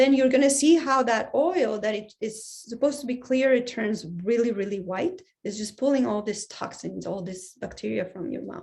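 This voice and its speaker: A fairly high-pitched, somewhat breathy woman talks at a moderate pace with lively intonation, big swings in loudness, and hardly any pauses. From Colombia. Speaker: biological dentist. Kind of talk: online Q&A talk.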